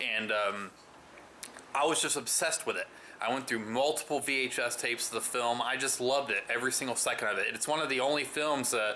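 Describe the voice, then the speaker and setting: Noticeable background noise sits under speech delivered at a fairly quick pace with fairly even intonation. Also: man, medium pitch for a man. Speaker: movie reviewer. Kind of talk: casual vlog review. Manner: loud; hesitant, many fillers.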